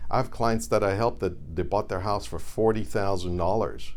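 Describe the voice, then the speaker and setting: With vocal fry and a very deep, low pitch, a man talks at a fairly quick pace with lively intonation, his voice carrying audible room echo. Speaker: reverse mortgage advisor. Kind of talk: educational monologue to camera.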